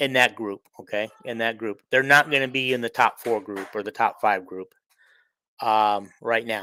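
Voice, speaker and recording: A man with a Midwestern US accent speaks at a moderate pace and medium pitch, his tone bright and sharp, in a dry, close sound with no echo. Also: fairly even intonation, very clean recording, silent background. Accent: US Midwest. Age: 60s. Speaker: sports podcaster. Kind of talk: casual monologue. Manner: halting, many fillers.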